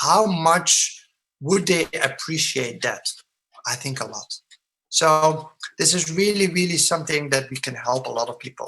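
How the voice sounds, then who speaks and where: The tone is bright and sharp, with ordinary pitch variation. The pace is fairly slow. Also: man, fairly high pitch for a man. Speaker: product presenter. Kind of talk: sales presentation. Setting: online webinar with screen share. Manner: mumbling.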